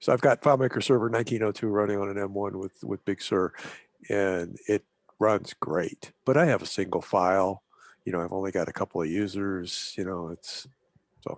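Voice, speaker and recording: In an unremarkable speaking voice, a man talks at a fairly low pitch with ordinary pitch variation, recorded very cleanly with a silent background and a dry, close sound with no echo. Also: fairly quick pace. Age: 60s. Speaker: software developer. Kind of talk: casual chat.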